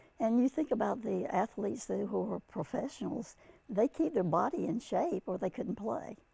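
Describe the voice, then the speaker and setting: A woman talks at an average speed with noticeable noise behind her. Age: 90s. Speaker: senior athlete and active lifestyle activist. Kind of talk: interview answer. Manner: hesitant, with many fillers.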